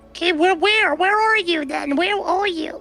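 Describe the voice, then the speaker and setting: Over music in the background, a woman performs a put-on character voice. She keeps a moderate pace and very even loudness. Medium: game stream. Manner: insistent, repetitive, swears a lot.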